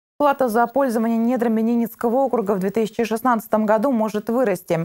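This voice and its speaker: A woman's voice has a dark, mellow tone against a quiet background. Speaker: TV news reporter. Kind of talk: news report narration. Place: studio.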